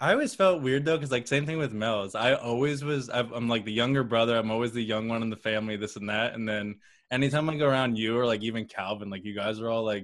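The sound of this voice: A man talks at a fast pace. His pitch is medium, with ordinary pitch variation.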